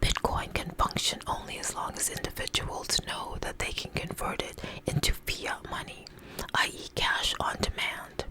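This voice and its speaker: A woman whispers at a moderate pace. Noticeable background noise sits behind her. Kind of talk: ASMR article reading. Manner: whispered.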